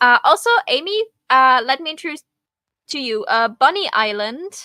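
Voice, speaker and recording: At a moderate pace, a woman speaks in a raised, projected, high voice with a bright, sharp tone, very wide pitch swings and big swings in loudness, the sound dry and close with no echo. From Germany. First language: not English. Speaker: streamer and co-creator. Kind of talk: casual chat. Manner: halting.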